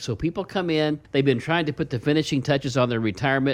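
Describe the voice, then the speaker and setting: A man with an Ozarks accent talks with ordinary pitch variation. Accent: Ozarks Midwestern. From Ozarks, Missouri. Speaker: financial advisor radio host. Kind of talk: radio talk show. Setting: studio.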